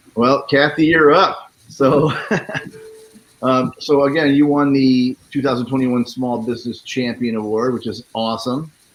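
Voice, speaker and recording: With a plain, everyday voice and an American accent, a man speaks at medium pitch and a moderate pace with fairly even intonation. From Florida. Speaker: talk show host. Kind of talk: live interview.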